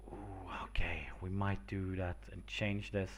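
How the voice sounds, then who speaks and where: A man with a non-native accent speaks at a very slow pace. There is audible room echo. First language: not English. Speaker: streamer making homebrew game monsters. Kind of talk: casual live stream thinking aloud. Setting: live stream. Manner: hesitant, many filler words.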